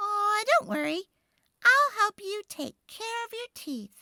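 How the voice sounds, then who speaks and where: A squeaky put-on character voice at an extremely high pitch, delivered at a fairly slow pace. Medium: read story.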